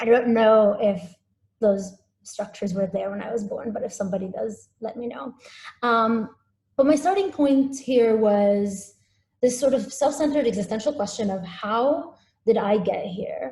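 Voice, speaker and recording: Somewhat breathy and dark, mellow in tone, this voice moves at a moderate pace with ordinary pitch variation and big swings in loudness. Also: woman, fairly high pitch for a woman. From UAE, Abu Dhabi area, Syrian-Palestinian family. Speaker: visual artist. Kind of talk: artist talk presentation. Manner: hesitant, many fillers.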